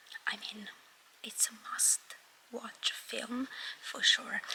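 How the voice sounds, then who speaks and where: A woman whispers very slowly, with noticeable noise in the background. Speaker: vlogger. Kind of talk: casual vlog talk. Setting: cinema.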